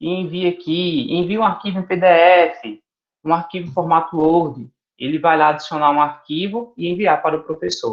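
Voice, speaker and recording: A man with a high voice talks at a moderate pace. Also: ordinary pitch variation. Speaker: teacher trainer. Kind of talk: tutorial.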